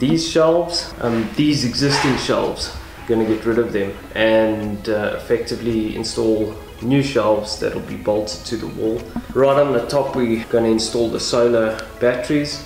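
Audible room echo surrounds the voice. Faint music plays in the background. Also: man, ordinary pitch variation, moderate pace. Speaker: vlogger. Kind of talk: casual vlog chat. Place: garage. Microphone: phone near.

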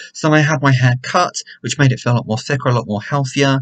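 Somewhat breathy speech at a fairly quick pace against a quiet background. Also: man. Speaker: hair care vlogger. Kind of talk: casual vlog chat. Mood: reflective, talking about grief. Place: home room. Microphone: webcam.

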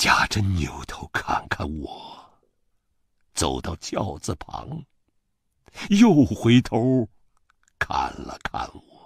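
A man whispers at a very slow pace, with long, frequent pauses and big swings in loudness. The sound is dry and close, with no echo. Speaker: voice actor. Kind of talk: audiobook novel reading.

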